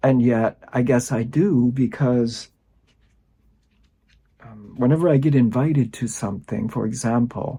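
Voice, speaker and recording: A man's somewhat breathy, dark and mellow voice at medium pitch and a fairly slow pace. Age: 60s. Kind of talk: personal reflection talk to camera.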